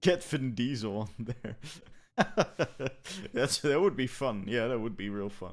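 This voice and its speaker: Lively intonation marks this man's speech, broken by long, frequent pauses. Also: medium pitch for a man, fairly slow pace. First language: not English. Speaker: gaming podcast co-host. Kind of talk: casual chat. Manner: halting, many repetitions.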